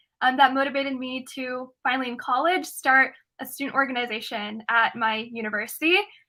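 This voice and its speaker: A woman's voice is high-pitched, raised and projected. Her tone is bright and sharp. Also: very clean recording, silent background. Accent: American. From US Midwest, Ohio. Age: 20s. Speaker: student activist. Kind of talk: interview. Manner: casual, filler-heavy.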